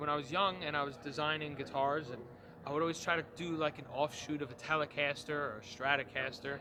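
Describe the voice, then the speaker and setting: A man's fairly high voice in a New York accent, very fast, with fairly even intonation. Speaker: guitar maker. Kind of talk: trade show interview. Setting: trade show floor. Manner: hesitant, many fillers.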